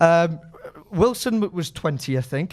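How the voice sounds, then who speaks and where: A man's high-pitched voice in a Geordie accent, with lively intonation and a very clean recording over a silent background. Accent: Geordie accent, noticeable. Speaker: football fan pundit. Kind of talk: casual interview.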